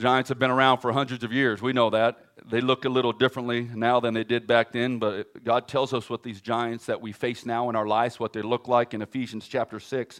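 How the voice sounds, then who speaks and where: With an American accent, a man speaks at a medium pitch in a monotone, flat delivery, moving at a fairly quick pace with hardly any pauses. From California. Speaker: guest pastor. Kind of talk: sermon. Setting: church. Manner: fast.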